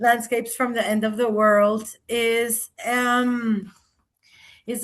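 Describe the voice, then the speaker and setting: A woman speaks in a flat monotone at a very slow pace, with a Spanish accent. Her pitch sits fairly high, and the background is quiet. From Colombia. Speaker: writer and performance artist. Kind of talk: author talk; reading aloud. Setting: video call.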